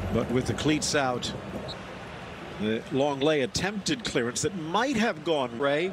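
A man speaks at a fairly slow pace with long, frequent pauses and lively intonation. His loudness stays very even over noticeable background noise. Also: fairly high pitch for a man. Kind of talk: sports commentary. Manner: fluent, brisk play-by-play, matter-of-fact.

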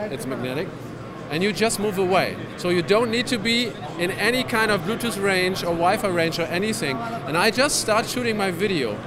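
With noticeable noise in the background, a man speaks fairly quickly, and the sound is dry with no echo. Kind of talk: interview answer, product demo. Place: hall. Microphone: handheld.

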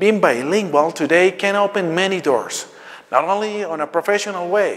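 A man speaks in a high pitch. His pace is moderate. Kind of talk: welcome speech. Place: hall. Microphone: lapel.

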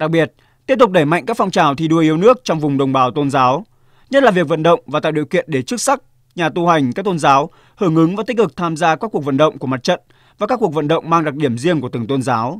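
On a very clean recording with a silent background and a dry, close sound with no echo, a man speaks at a very fast pace with a fairly high pitch and lively intonation. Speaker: news narrator. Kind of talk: scripted narration. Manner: formal.

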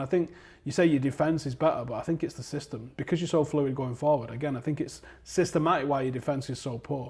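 Delivered at a very fast pace, the somewhat breathy voice keeps a fairly even intonation. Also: man. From Manchester, England. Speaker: football fan pundit; football fan channel host. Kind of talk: heated debate. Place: studio.

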